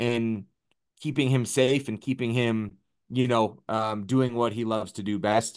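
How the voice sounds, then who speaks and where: A man speaks in an ordinary speaking voice at medium pitch and a moderate pace. His intonation is fairly even, and the background is quiet. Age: 30s. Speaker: MMA striking coach. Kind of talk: casual chat.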